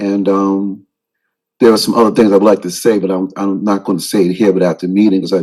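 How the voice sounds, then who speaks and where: This man's fairly low voice stays monotone, with flat intonation. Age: 60s. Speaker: pastor. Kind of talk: public comment at town council meeting. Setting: council chamber. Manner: halting.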